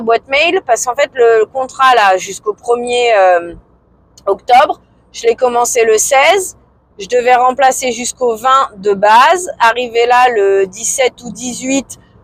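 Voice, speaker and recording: A loud woman's voice, high-pitched, at a fairly slow pace, with a dry, close sound and no echo. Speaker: vlogger. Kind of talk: casual vlog monologue. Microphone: filmed without external mic.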